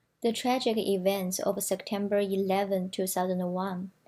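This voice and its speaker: With a Chinese accent, a woman speaks at a fairly slow pace in a medium pitch, her dark, mellow tone and monotone, flat intonation captured on a very clean recording with a silent background. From China. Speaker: student presenter. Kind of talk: prepared presentation reading.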